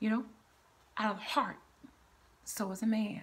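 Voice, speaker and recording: A woman speaks in a fairly high pitch, somewhat breathy. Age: 60s. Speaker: cancer survivor and motivational speaker. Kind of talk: devotional sermon-style talk with scripture reading. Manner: earnest, preachy, conversational. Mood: earnest, preaching. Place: home room. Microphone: phone near.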